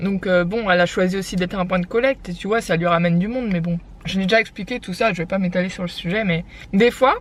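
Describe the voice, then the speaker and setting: A woman with a medium pitch talks at a very fast pace. Background noise is noticeable. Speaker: lifestyle vlogger. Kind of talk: casual vlog chat. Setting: in a car.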